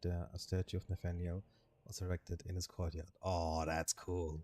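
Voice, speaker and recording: Speaking at a moderate pace with a non-native accent, a man with a very deep, low pitch and a dark, mellow tone is heard in a very clean, dry, close recording with no echo and a silent background. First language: not English. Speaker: vtuber streamer. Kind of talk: reading game text aloud on a live stream. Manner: halting, stumbling over names.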